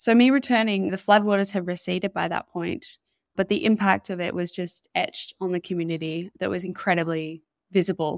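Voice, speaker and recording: A woman speaks at medium pitch with ordinary pitch variation. The recording is very clean and dry, close with no echo, over a silent background. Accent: Australian. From northern New South Wales, Australia. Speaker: legal researcher and climate activist. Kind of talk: interview.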